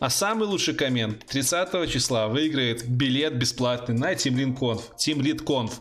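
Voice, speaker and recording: Speaking at a very slow pace with hardly any pauses, a man uses a medium pitch and ordinary pitch variation. His loudness stays very even. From Belarus. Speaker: YouTube channel host, IT blogger. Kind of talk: live stream chat with viewers. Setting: live stream with webcam and headphones. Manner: animated.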